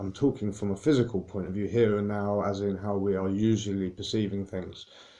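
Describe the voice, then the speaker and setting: A man speaks in a dark, mellow tone with a fairly low pitch. The background is quiet. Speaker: spiritual wellness speaker. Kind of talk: informal talk to camera. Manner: fast; halting, self-correcting.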